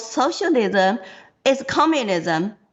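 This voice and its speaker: At a very slow pace, a woman with a Chinese accent speaks in a high pitch with lively intonation. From China. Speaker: political candidate. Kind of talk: interview.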